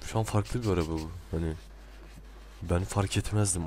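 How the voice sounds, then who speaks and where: Ordinary pitch variation and a fairly quick pace from a somewhat breathy man. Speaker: video creator. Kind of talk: casual video commentary. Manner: chatty, self-deprecating, laughs often.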